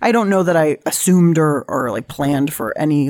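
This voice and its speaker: Here a woman speaks fairly quickly in a Californian accent. Her pitch is very deep and low, varying in an ordinary way. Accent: General American, Californian. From US West Coast, San Diego. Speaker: cook and cookbook author. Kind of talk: casual interview conversation.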